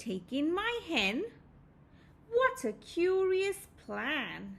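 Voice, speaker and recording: A woman does a put-on character voice at an extremely high pitch with very wide pitch swings. She speaks at a very slow pace. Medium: read story. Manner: fussy, exclamatory.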